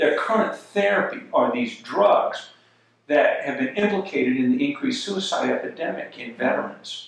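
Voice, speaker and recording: A man speaks at a moderate pace. Strong room echo fills the recording. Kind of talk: interview answer. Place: home room.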